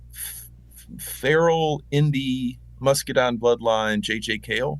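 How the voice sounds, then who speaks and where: A man in an American accent, medium pitch, very slow pace. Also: ordinary pitch variation. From US South, western North Carolina. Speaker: country musician. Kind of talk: interview conversation. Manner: casual, halting with many fillers.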